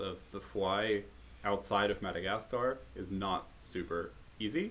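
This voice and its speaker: This man has an American accent and a fairly low pitch with ordinary pitch variation. He has a plain, everyday voice. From United States. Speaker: herpetologist and podcast host. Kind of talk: casual chat.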